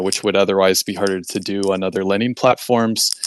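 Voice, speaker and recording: Against a quiet background, a man speaks at a fairly low pitch with a dry, close sound and no echo. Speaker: blockchain company representative. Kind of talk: interview answer. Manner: fast; halting, many fillers.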